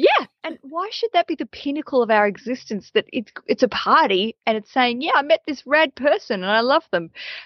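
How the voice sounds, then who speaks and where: Barely pausing, a woman with an Australian accent speaks at a moderate pace and high pitch with very wide pitch swings. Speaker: comedian and wedding podcast host. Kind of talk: casual interview.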